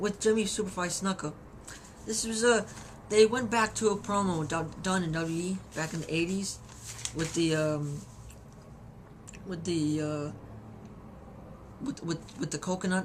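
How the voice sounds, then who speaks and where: Noticeable background noise sits behind a woman speaking with ordinary pitch variation. Her pauses are long and frequent. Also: fairly low pitch for a woman, moderate pace. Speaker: wrestling reviewer. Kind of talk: video review. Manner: halting, many repetitions.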